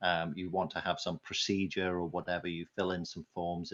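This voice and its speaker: A man with a very deep, low pitch and a British accent at a fairly quick pace, against a quiet background. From Britain. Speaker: conference speaker on marketing technology. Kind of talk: conference talk.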